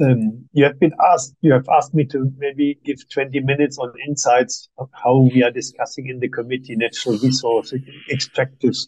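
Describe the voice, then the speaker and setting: A man with a German accent speaks at a medium pitch and a fairly quick pace. His tone is dark and mellow, the sound dry and close with no echo. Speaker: human rights expert. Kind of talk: seminar presentation. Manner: halting.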